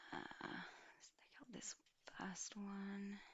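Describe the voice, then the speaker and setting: Whispering in a gentle tone, the speaker goes at a very slow pace. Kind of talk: ASMR roleplay, personal attention spa treatment. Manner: soft-spoken, gentle.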